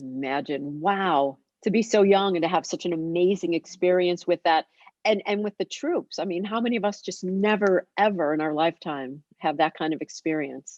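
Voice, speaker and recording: This woman has an unremarkable speaking voice, pitched fairly low and delivered at a moderate pace. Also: ordinary pitch variation. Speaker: alumni association interviewer. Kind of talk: interview host talk. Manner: upbeat.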